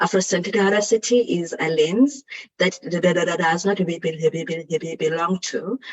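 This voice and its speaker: A somewhat breathy voice at a moderate pace with lively intonation. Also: woman. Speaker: psychologist. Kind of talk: conference talk. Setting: video conference.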